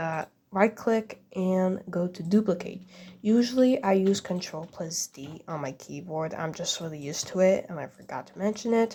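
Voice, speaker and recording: In a non-native accent, a woman speaks at medium pitch and a moderate pace with ordinary pitch variation. Her voice is somewhat breathy. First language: not English. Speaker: game builder making a tutorial. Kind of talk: tutorial. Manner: casual, hesitant with fillers.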